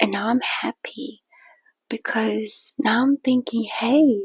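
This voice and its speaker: A soft-spoken woman is whispering at a very slow pace. The sound is dry and close, with no echo. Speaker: chess streamer. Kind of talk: game commentary. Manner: whispered, soft; casual, chatty.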